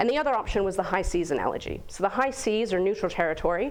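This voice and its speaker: With an American accent, a woman talks at a very fast pace and a medium pitch. Her intonation is lively. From United States. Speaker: guest speaker on space governance. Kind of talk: lecture.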